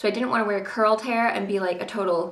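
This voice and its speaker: Fairly even intonation from a woman, with audible room echo and noticeable background noise. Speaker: beauty vlogger. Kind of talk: tutorial. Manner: casual, chatty.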